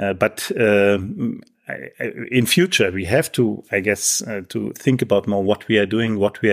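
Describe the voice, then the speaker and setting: A man with a German accent and vocal fry, fairly low in pitch with ordinary pitch variation, at a moderate pace, in a very clean recording with a silent background. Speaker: professor. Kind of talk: interview.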